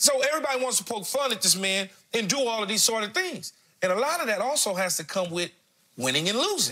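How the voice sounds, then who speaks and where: A man's raised, projected voice at a very fast pace, bright and sharp in tone, with very wide pitch swings, over a quiet background. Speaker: TV sports analyst. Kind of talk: commentary. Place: studio. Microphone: lapel.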